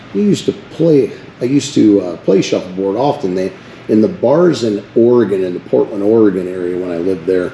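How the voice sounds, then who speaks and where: Noticeable background noise sits behind a man whose fairly low voice moves at a fairly quick pace with lively intonation. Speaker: first amendment auditor. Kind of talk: casual vlog narration. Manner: loud.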